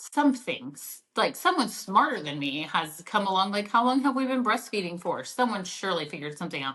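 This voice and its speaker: A woman speaks fairly quickly with a slight Oklahoma accent. Her voice is fairly high in pitch, with a bright, sharp tone. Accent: Oklahoma twang, slight. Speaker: mom entrepreneur, product founder. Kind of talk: podcast interview. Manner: casual, many fillers and restarts.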